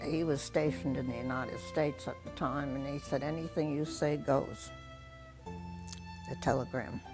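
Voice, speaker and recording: A woman's very deep, low voice with very wide pitch swings, a moderate pace and music in the background. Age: 80s+. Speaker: war bride. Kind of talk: interview answer.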